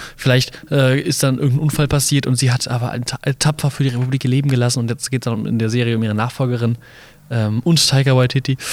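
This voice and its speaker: A man at medium pitch, monotone and flat in intonation, at a very fast pace. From Mainz, Germany. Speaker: podcast co-host. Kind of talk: casual chat. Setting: carnival float. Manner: hesitant, many fillers.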